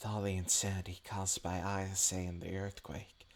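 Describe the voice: Simply plain reading aloud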